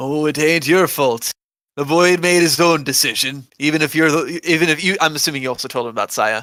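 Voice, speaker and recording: Using a gruff, put-on character voice, a man talks at a fairly quick pace in a fairly high pitch with ordinary pitch variation. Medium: actual play. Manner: gruff, profane.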